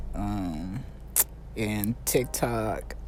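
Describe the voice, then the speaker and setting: Soft-spoken, a man talks over noticeable background noise. His voice carries audible room echo. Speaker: illusionist. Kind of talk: casual chat. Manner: soft-spoken, low.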